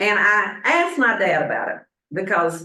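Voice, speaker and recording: This woman speaks with a Southern US accent. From US South, Statesboro, Georgia. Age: 70s. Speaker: pastor. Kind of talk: sermon.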